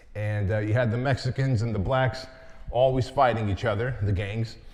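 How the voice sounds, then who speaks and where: Somewhat breathy, a man speaks at a fairly quick pace with a medium pitch and ordinary pitch variation. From Santa Ana, California (from age six, born in Soviet Union). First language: Armenian or Russian (Soviet Union). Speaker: entrepreneur and business coach. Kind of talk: keynote talk.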